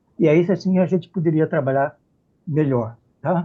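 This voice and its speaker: This man's voice has a high pitch. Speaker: professor, malaria expert. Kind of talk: panel discussion. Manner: halting.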